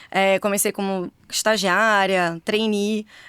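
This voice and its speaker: In a very clean recording with a silent background and a dry, close sound without echo, a woman with a Rio de Janeiro accent speaks at a fairly slow pace at a medium pitch. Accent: carioca. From Rio de Janeiro, Brazil. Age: 40s. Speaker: engineer and former corporate executive, now mentor. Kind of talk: podcast interview.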